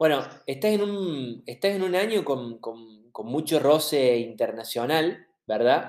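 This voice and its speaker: A man's fairly high voice with lively intonation at a very slow pace. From Argentina. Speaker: podcast host. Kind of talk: interview.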